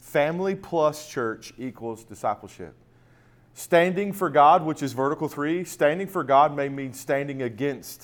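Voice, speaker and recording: With an American accent and an animated tone, a man speaks at a fairly slow pace and a fairly high pitch. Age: 40s. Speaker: ministry events director. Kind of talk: conference seminar talk.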